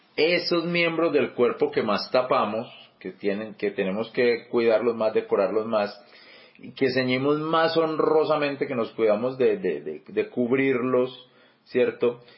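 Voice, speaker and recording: A man talks at a medium pitch with lively intonation and a fairly slow pace. Noticeable noise sits in the background. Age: 40s. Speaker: church teacher. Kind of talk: bible study teaching. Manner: halting, many repetitions and fillers.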